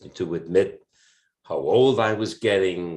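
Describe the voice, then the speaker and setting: A man talks at a very slow pace against a quiet background. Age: 70s. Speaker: cabaret singer. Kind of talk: casual chat. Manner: halting.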